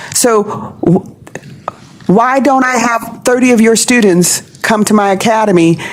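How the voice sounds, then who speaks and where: A woman speaks at a fairly high pitch with ordinary pitch variation. Noticeable background noise runs underneath. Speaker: aviation STEM program leader. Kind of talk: panel discussion. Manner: loud; animated.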